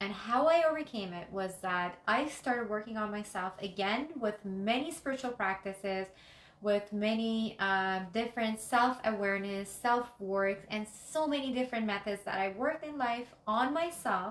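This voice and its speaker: Speaking with a Persian accent, a woman uses a fairly high pitch with ordinary pitch variation. She keeps a moderate pace with hardly any pauses. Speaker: life coach and YouTuber. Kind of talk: motivational talk to camera. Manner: unscripted, with some hesitations.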